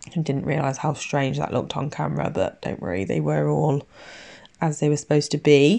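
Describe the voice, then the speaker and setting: A woman with an English accent at a fairly quick pace. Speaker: nail technician youtuber. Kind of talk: tutorial voiceover. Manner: casual, hesitant with fillers.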